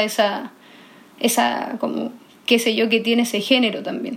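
At a moderate pace, a woman with a Chilean accent and high pitch speaks in a monotone, flat intonation. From northern Chile, Iquique. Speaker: singer-songwriter. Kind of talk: interview.

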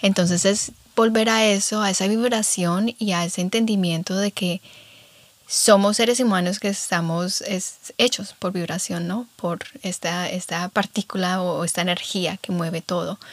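A woman speaks at a fairly slow pace in a plain, everyday voice, with fairly even intonation and a dry, close sound with no echo. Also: medium pitch for a woman. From Colombia. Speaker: podcast host. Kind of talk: casual chat.

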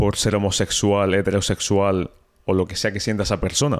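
An ordinary speaking voice comes at a moderate pace on a very clean recording with a silent background. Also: man. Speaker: podcast host. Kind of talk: casual interview. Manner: casual.

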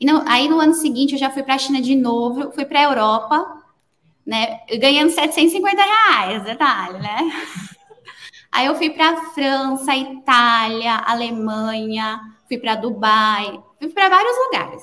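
In a raised, projected voice, a woman with a high pitch and a bright, sharp tone speaks at a fairly slow pace with lively intonation. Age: 30s. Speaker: designer. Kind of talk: casual interview chat.

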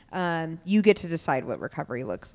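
A woman with an American accent and a fairly low pitch is heard in a very clean recording with a silent background. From Tacoma, Washington. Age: 30s. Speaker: sobriety coach. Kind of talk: interview about life story. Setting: in a bar.

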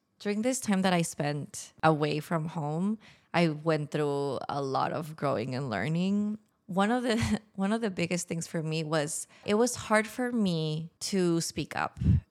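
With a Spanish accent, a woman speaks fairly slowly in a fairly low pitch, her intonation lively. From Mexico (Tijuana). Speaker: podcast guest, former expat. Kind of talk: casual interview.

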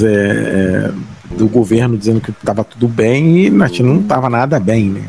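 A man with a medium pitch and ordinary pitch variation speaks against noticeable background noise. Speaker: podcast host. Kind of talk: casual chat. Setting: bar table.

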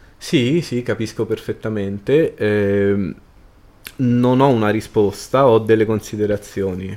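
At a very slow pace, a man speaks with a dark, mellow tone and a fairly low pitch. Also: ordinary pitch variation. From Rome, Italy. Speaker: cultural events organizer. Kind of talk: casual interview conversation.

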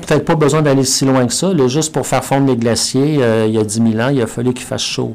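Talking very fast at a medium pitch, a man keeps his intonation fairly even against noticeable background noise. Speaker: professor. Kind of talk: interview. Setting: studio. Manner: halting, with repetitions.

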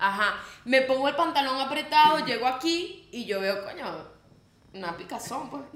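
In a room with audible echo and noticeable background noise, a high-pitched woman speaks at a moderate pace with lively intonation and big swings in loudness. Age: 20s. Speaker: podcast co-host. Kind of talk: casual chat.

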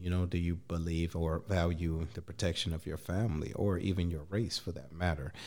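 Here a man with a very deep, low voice speaks at a fairly quick pace with hardly any pauses. His intonation stays fairly even, and the recording is very clean with a silent background. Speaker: podcast host. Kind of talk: casual interview.

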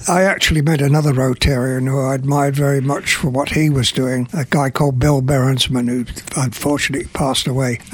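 Fairly high in pitch, a man with an English accent talks at a very fast pace with fairly even intonation. His loudness is very even, and there is noticeable background noise. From English Midlands, Burton upon Trent. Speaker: retired UN official. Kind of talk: radio interview. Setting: studio.

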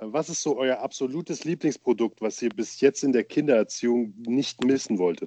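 Speaking with hardly any pauses, a man has a plain, everyday voice at medium pitch, moving at a moderate pace with ordinary pitch variation. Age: young. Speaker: podcast co-host, father. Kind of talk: casual chat.

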